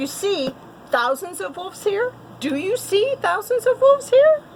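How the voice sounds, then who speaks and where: In a squeaky, put-on character voice, a woman talks at an extremely high pitch with very wide pitch swings and a moderate pace, over light background noise. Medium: read story. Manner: boastful.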